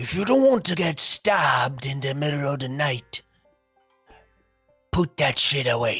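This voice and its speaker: A man does a raspy, put-on character voice at a fairly high pitch. He keeps a moderate pace as faint music plays in the background. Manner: gruff, threatening.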